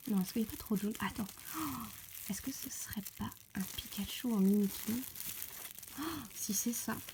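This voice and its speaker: A woman with a fairly high pitch speaks at a moderate pace, leaving long, frequent pauses, with noticeable background noise. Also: ordinary pitch variation. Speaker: polymer clay sculptor. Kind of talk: casual talk to camera, unboxing. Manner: frequent squeals of delight.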